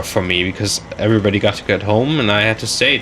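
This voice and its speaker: A man with a German accent speaks at a moderate pace in a fairly low voice, his pitch moving in an ordinary way over noticeable background noise. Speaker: gaming commentator. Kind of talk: casual chat. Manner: halting.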